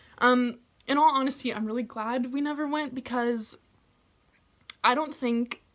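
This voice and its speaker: Long, frequent pauses break up a woman's high-pitched speech, delivered at a moderate pace. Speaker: YouTuber telling personal stories. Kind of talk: storytime vlog. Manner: loud; animated.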